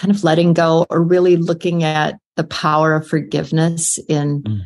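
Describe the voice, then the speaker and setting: A woman with an American accent talks at a fairly slow pace in a normal speaking voice. Her pitch is fairly low, with fairly even intonation. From US Midwest, South Dakota. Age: 60s. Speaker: author and retired geriatric nurse. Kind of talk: casual interview.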